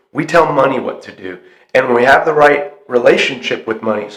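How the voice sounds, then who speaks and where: A man's hoarse, put-on character voice at a medium pitch, fairly quick in pace, with ordinary pitch variation and big swings in loudness. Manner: passionate, preaching.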